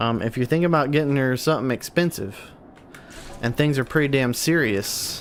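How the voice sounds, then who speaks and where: Over noticeable background noise, a man talks at a fairly quick pace and medium pitch, with ordinary pitch variation and very even loudness. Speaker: gaming streamer. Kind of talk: casual live-stream chat reading viewer comments. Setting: live stream. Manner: stuttering, repeating words.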